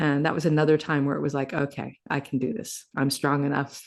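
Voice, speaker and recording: This woman's pitch is very deep and low. The background behind her is quiet. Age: 60s. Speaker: healing and wellness mentor. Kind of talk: podcast interview.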